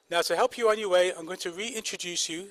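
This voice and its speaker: This man speaks with a high pitch. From northern England, Manchester. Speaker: medical school faculty, kidney doctor. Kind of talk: ceremony speech. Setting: outdoor ceremony with audience.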